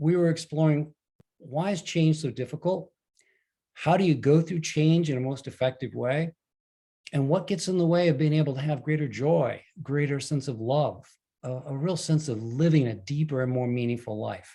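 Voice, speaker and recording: Speaking at a moderate pace, a man has a fairly high pitch with ordinary variation. His voice is somewhat breathy, with a dark, mellow tone. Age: 70s. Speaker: leadership coach and author. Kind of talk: talk to an online group.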